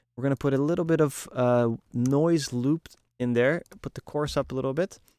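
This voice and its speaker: A man's dark, mellow voice sits fairly high in pitch, with fairly even intonation and a dry, close sound with no echo. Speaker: music producer and mixing engineer. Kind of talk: tutorial. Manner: fast.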